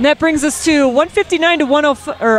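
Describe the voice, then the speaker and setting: A woman at a fairly slow pace, playful in tone, dry with no echo and music playing behind her. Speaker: roller derby commentator. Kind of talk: sports commentary, live color commentary on roller derby. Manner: playful, conversational, lightly jokey. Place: hall.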